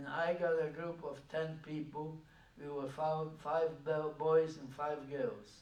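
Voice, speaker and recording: At a very slow pace, a man with a fairly high pitch speaks in a monotone, flat intonation, his loudness swinging widely. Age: 80s+. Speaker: Holocaust survivor. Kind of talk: public talk recounting personal history.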